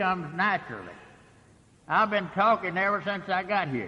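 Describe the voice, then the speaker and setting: A man's raised, projected voice, high in pitch, with a bright, sharp tone and ordinary pitch variation. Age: 80s+. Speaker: AA speaker, recovering alcoholic. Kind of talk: recovery meeting talk. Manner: halting, many fillers.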